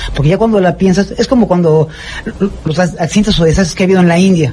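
There is light background noise as a man speaks at a very fast pace. His pitch is high, with ordinary variation. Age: 50s. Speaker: volunteer rescue worker. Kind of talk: interview. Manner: halting, repeats words. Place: home room. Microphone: handheld.

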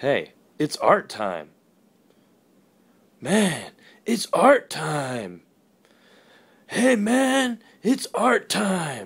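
In a cartoonish character voice with fairly high pitch, the speaker goes at a very slow pace, leaving long, frequent pauses. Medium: puppet. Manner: casual, laid-back.

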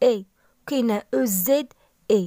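At a very slow pace, a woman with a Moroccan accent speaks in a high pitch with a dark, mellow tone and lively intonation. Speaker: language teacher. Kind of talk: tutorial. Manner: slow, repeating words for practice.

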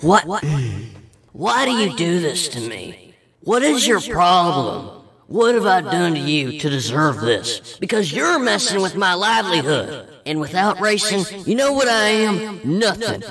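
There is clear echo as a man puts on a character voice, pitched high and delivered at a moderate pace.

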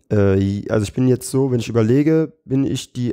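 Over a quiet background, a man's dark, mellow voice moves in fairly even intonation. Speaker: comedian and battle rapper; comedian. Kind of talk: podcast interview. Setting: studio. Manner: fast. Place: studio.

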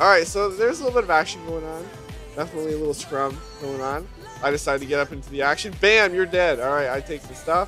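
Talking at a very fast pace with lively intonation, a man with a fairly high pitch is heard over music in the background. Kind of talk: gameplay commentary. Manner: casual, playful.

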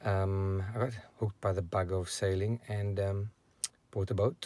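The voice carries a dark, mellow tone. Its pitch moves very little. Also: man.

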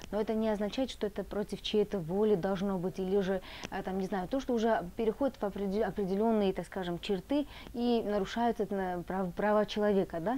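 Over light background noise, a woman talks with a medium pitch, a dark, mellow tone and fairly even intonation. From Georgia. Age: young. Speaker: student association chair. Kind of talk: interview. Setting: tea house. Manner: hesitant, filler words. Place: cafe.

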